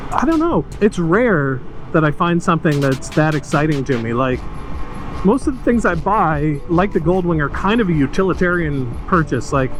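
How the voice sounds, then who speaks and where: Music plays in the background. The speaker has lively intonation and a moderate pace. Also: man, fairly high pitch for a man. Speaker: motorcycle vlogger. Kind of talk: casual ride-along vlog. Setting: riding a motorcycle outdoors. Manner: hesitant, many fillers.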